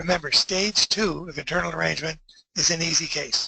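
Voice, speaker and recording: The intonation stays fairly even. The sound is dry and close, with no echo. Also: man. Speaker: dentist presenter. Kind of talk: webinar lecture. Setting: online webinar. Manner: fast.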